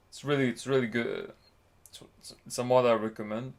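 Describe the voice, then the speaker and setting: A man speaks with a non-native accent. His intonation is flat and monotone. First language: not English. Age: 20s. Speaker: university student streamer. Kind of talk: casual livestream explanation. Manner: halting, many fillers and repetitions.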